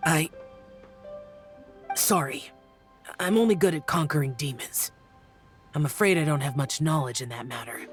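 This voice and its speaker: A cartoonish character voice at middle pitch and moderate pace, with clear music in the background. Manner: terse, reserved.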